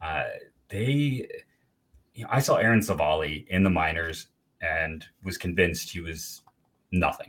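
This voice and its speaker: At a fairly slow pace, a man speaks in a very deep, low voice, with lively intonation and long, frequent pauses. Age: 40s. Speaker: baseball writer and podcaster. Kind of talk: casual chat. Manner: halting, many fillers.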